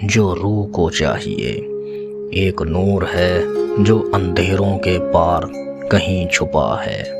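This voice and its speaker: Music plays in the background. A man speaks with a very deep, low pitch and ordinary pitch variation. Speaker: voiceover artist. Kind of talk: poetry reading. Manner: meditative.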